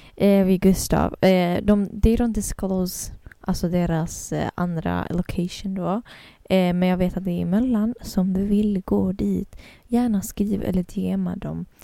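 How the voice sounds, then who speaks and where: A woman speaks at a fairly slow pace in a medium pitch. Her tone is dark and mellow, her intonation monotone and flat. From Kurdistan. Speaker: community radio host. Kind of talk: casual chat.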